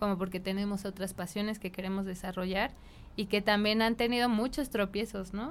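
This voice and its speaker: With fairly even intonation and a medium pitch, a woman talks in a plain, everyday voice. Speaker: designer and entrepreneur. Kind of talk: casual interview.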